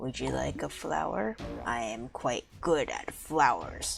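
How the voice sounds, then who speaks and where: Over clear music in the background, a put-on character voice rumbles along at a fairly slow pace. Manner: gentle, naive, sincere.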